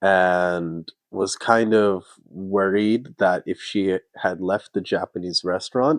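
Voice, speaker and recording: With a Canadian accent, a man speaks very slowly at a fairly low pitch, his intonation fairly even. The sound is dry and close with no echo, over a quiet background. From Canada. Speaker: vlogger. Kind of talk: casual chat.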